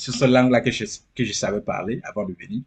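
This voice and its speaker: A man speaks in an animated tone, somewhat breathy, with lively intonation. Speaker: immigrant sharing experience. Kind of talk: interview.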